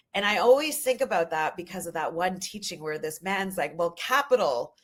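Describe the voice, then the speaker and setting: With a Canadian accent, a woman speaks at a moderate pace. Her tone is animated and her intonation lively. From Canada, Ojibwe First Nation heritage. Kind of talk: podcast interview. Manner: loud.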